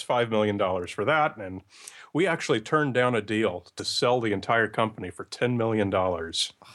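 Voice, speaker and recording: A man's ordinary speaking voice, medium-pitched, with a moderate pace. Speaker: podcast creator and science skeptic. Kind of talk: casual interview.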